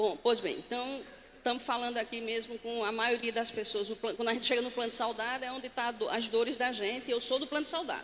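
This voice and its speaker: Over noticeable background noise, a woman talks at a very fast pace with a high pitch and fairly even intonation. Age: 60s. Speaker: pension fund board chair. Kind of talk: conference talk. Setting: stage with audience. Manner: standing, addressing audience directly.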